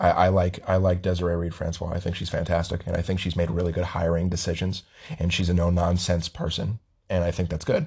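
In an American accent, a man with a very deep, low pitch talks very fast in a somewhat breathy monotone with flat intonation. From Las Vegas, US. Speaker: sports podcast host. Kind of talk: casual chat.

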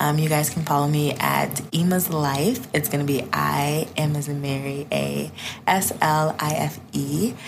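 A woman with an American accent speaks at a fairly slow pace, her pitch very deep and low with fairly even intonation. The recording has audible room echo and noticeable background noise. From US Midwest, south suburbs of Chicago. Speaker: podcast guest, content creator. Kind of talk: casual chat.

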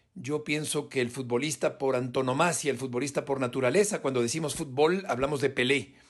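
A man at a fairly quick pace and fairly high pitch, an unremarkable speaking voice. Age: 50s. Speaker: sports journalist. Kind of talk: recorded testimony.

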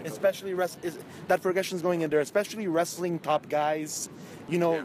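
A man's high voice at a fairly quick pace, with ordinary pitch variation and noticeable background noise. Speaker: wrestling fan interviewee. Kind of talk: casual chat.

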